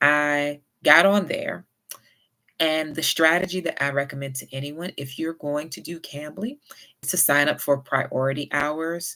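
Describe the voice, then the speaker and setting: A woman with a Southern US accent speaks in a very deep, low pitch, her tone bright and sharp, with ordinary pitch variation. Her loudness swings widely, and the recording is very clean with a silent background. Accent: Southern US, moderate. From US South. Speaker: YouTuber with chronic illness. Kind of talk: casual vlog advice. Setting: home livestream. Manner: not fast.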